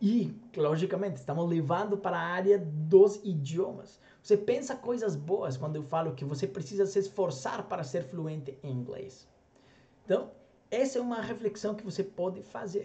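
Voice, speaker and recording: Lively intonation rides over noticeable background noise as the speaker keeps a moderate pace. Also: man, high pitch for a man. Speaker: language coach. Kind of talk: motivational talk to camera. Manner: conversational, rhetorical questions.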